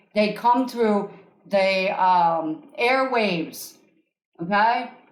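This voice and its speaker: Audible room echo surrounds a woman at medium pitch. She speaks at a very slow pace. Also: ordinary pitch variation. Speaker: energy healer and podcast host. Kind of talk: live call-in coaching session. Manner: animated; loud.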